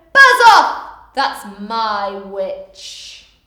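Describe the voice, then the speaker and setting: A woman does a put-on character voice at fairly high pitch, growling, shrill and croaky, with slight echo. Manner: menacing, shouting.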